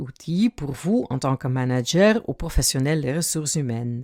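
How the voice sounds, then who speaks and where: Very wide pitch swings mark this dark, mellow voice with a Dutch accent, heard in a dry, close sound with no echo. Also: woman. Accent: Dutch-speaking accent in French. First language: Dutch (speaking French). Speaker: career coach and author. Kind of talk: podcast monologue.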